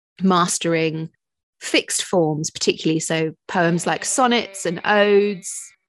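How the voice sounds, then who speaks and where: Against a quiet background, a woman speaks at a fairly slow pace in a fairly low pitch with ordinary pitch variation. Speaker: poet. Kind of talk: radio interview.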